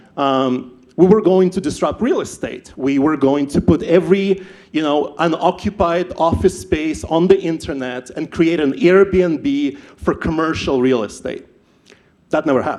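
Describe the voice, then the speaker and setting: Speaking at a fairly slow pace, a man with a Ukrainian accent has a fairly high pitch and ordinary pitch variation. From Ukraine. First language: not English (English is third language). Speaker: startup founder, event speaker. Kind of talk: personal story talk at live event. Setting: stage with audience.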